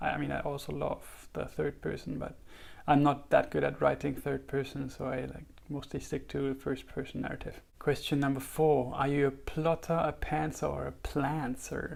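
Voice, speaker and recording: A man talks at a moderate pace with a German accent. The recording is very clean, with a silent background. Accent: German, noticeable. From Germany. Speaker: writer and YouTuber. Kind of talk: casual vlog talk. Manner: hesitant, many fillers.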